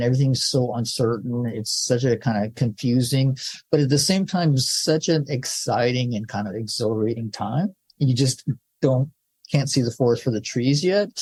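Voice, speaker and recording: This man has a dark, mellow tone, sounds somewhat breathy and speaks with an American accent. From Southern California. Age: 60s. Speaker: film director. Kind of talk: interview. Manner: casual, halting with many fillers.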